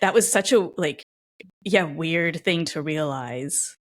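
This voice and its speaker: An animated tone on a very clean recording with a silent background. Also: woman. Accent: Californian. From Los Angeles, California. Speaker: podcast host. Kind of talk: casual interview conversation.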